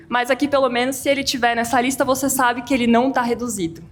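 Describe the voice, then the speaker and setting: A woman talks in a high-pitched voice. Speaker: tax lawyer presenting at a firm event. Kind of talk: lecture. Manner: fast.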